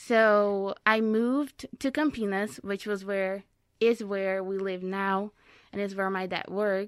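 A woman with a Brazilian accent speaks at a fairly slow pace with fairly even intonation. The recording is very clean with a silent background. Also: medium pitch for a woman. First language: Portuguese. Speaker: immigrant and former college athlete. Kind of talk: interview conversation. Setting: studio.

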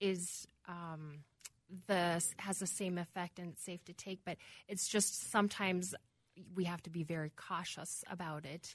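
Her voice fairly low and her intonation monotone and flat, a woman talks at a moderate pace. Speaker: pharmacist. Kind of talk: radio call-in panel answering listener questions. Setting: radio studio.

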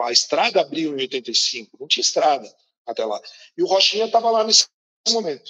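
The man's moderately paced speech has a dry, close sound with no echo. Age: 50s. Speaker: business executive. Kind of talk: interview.

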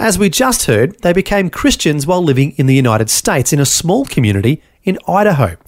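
A man with an Australian accent talks at a very fast pace with hardly any pauses, his pitch fairly high and swinging very widely. His loudness stays very even. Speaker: radio host. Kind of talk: scripted narration.

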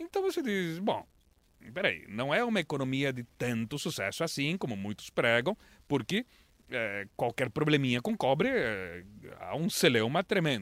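In a dry, close recording with no echo, a man speaks at a fairly high pitch with very wide pitch swings. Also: moderate pace. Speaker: foreign correspondent journalist. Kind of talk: casual interview.

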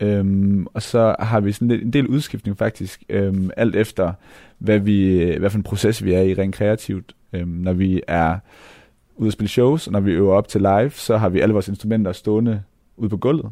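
Over a quiet background, a man speaks fairly slowly in a dark, mellow tone with fairly low pitch and fairly even intonation. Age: 20s. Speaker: hip-hop musician. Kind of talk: interview.

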